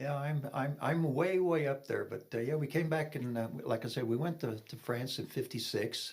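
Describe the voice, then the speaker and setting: Somewhat breathy, a man talks in a fairly high voice with ordinary pitch variation. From Kentucky (Fort Knox), military childhood abroad. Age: 70s. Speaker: retired police officer and veteran. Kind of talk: testimony interview.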